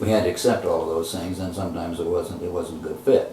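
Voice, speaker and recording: A man speaks fairly quickly in a room with audible echo, and noticeable background noise comes through. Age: 70s. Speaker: retired professor and education nonprofit founder. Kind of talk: interview. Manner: halting.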